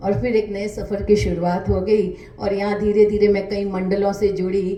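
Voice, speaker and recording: Over music in the background, a woman's medium-pitched voice carries audible room echo. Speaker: author and poet. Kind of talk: interview.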